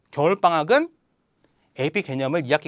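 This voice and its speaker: Very fast speech from a man, with very wide pitch swings and a dry, close sound with no echo. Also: quiet background. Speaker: math tutor and academy head. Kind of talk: promotional talk.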